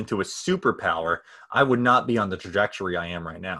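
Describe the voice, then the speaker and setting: A man talks with an American accent. He moves at a fairly quick pace with ordinary pitch variation. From US Northeast, New Hampshire. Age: 20s. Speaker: nonprofit founder and entrepreneur. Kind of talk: casual interview. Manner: halting, many fillers and restarts.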